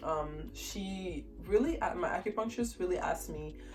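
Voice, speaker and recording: Music plays behind a woman as she talks. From Haiti. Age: 20s. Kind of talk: casual talk to camera.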